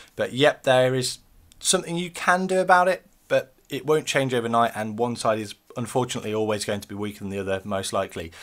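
A man's voice at a very fast pace, with very wide pitch swings. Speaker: beard-care YouTuber. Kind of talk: video tutorial. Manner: casual, uses filler ums. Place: home room. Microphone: webcam.

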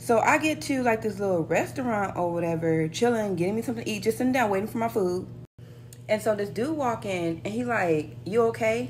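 Very wide pitch swings mark a woman's animated tone over light background noise. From United States. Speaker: flight attendant vlogger. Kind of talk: casual vlog storytelling, retelling an airport anecdote. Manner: animated, sassy, conversational. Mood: relaxed, mildly annoyed. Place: home room. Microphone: phone near.

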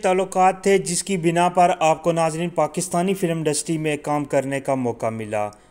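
This man has a normal speaking voice, pitched fairly high. His pitch varies an ordinary amount. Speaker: YouTube biography narrator. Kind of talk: biographical narration.

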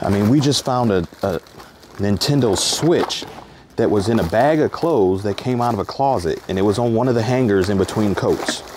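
A man speaks at a moderate pace with ordinary pitch variation and very even loudness. Noticeable background noise is present. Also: dry sound with no echo. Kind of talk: casual vlog chat. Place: garage. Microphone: phone near.

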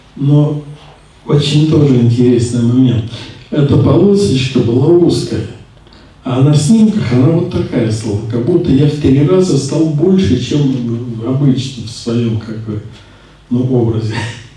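Strong room echo surrounds a man speaking at a fairly slow pace. He leaves long, frequent pauses, with ordinary pitch variation. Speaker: spiritual teacher. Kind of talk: lecture. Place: classroom.

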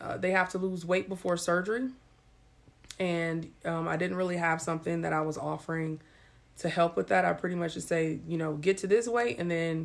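A plain, everyday voice from a woman, fairly low in pitch, at a moderate pace with fairly even intonation. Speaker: surgeon vlogger. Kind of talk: casual live-stream chat. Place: home room. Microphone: phone near.

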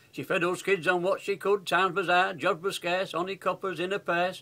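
This raised, projected voice comes in a Yorkshire accent with a bright, sharp tone. The pace is moderate. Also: man. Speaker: grandfather reciting poem. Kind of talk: dialect poetry reading. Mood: warm, humorous, nostalgic. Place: home room. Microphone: webcam.

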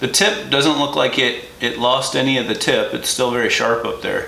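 A man is speaking. There is audible room echo and light background noise. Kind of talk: tutorial. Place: workshop. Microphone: camera far.

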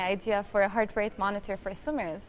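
The speaker is a woman. Her pace is moderate. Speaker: guest. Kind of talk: interview answer. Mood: cheerful, enthusiastic. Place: studio. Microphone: lapel.

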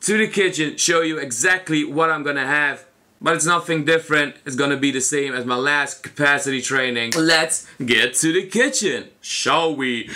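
A man's bright, sharp tone at a moderate pace, with hardly any pauses and ordinary pitch variation. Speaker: food challenge vlogger. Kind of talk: casual vlog chat. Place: home room. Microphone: camera far.

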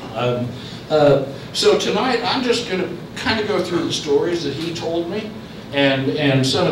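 Audible room echo and light background noise surround speech delivered at a moderate pace. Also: man. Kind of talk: lecture.

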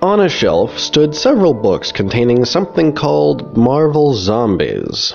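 A man at a moderate pace, with very wide pitch swings and music in the background. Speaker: comics video essayist. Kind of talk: video essay narration.

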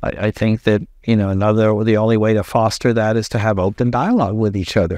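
A man with a fairly low pitch speaks at a very fast pace, with fairly even intonation and very even loudness. The sound is dry with no echo over a quiet background. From US South, Texas, Brownsville; Texas. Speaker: former port director, political candidate; candidate. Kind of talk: interview. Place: home room.

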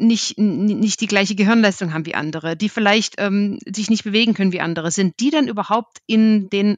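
Recorded dry and close with no echo against a quiet background, a woman speaks at a moderate pace and medium pitch with ordinary pitch variation. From Germany. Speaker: market research analyst. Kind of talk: podcast interview. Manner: halting, many repetitions and fillers.

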